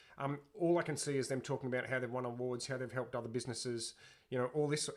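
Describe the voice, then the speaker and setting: At a very fast pace, a man with a medium pitch talks with ordinary pitch variation. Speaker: sales trainer. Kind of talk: webinar tutorial.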